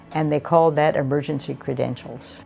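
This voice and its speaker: The speaker has an American accent. Music plays in the background. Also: woman. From Oregon, USA. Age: 80s+. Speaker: retired teacher. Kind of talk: interview answer.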